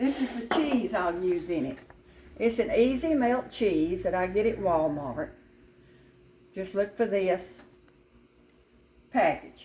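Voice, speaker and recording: With a Southern US accent, a woman speaks at a very slow pace and a medium pitch, her dark, mellow tone moving through very wide pitch swings and long, frequent pauses. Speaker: restaurant owner and home cook. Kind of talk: cooking tutorial. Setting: home kitchen. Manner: casual, conversational.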